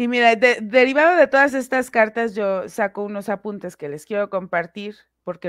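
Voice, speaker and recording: An ordinary speaking voice at a moderate pace, dry and close with no echo, over a quiet background. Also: woman. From Mexico, Puebla. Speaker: investigative commentator. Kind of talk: casual discussion.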